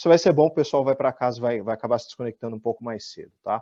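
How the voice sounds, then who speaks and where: Against a quiet background, a man talks at medium pitch with ordinary pitch variation. His tone is dark and mellow, and the sound is dry and close with no echo. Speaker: industrial engineering speaker. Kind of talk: technical webinar talk. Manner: repeats words, hesitant fillers.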